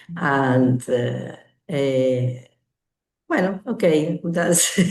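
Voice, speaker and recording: Very slowly, a speaker talks in a Spanish accent. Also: woman. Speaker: language student. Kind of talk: class conversation practice. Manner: halting, many hesitations.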